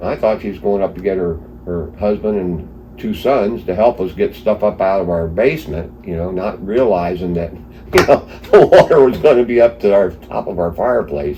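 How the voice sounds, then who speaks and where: Over noticeable background noise, a man with a very deep, low pitch speaks at a moderate pace with lively intonation. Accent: American. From East Stroudsburg, Pennsylvania. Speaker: flood survivor. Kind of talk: interview answer.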